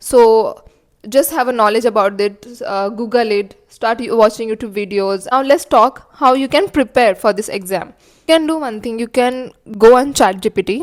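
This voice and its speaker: With a Marathi accent, a woman speaks at a fairly high pitch and a moderate pace, using ordinary pitch variation. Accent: Indian English, Marathi. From India, Marathi-speaking (Maharashtra). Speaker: cabin crew vlogger. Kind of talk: casual vlog tutorial, Hindi-English mix. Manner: casual, with fillers.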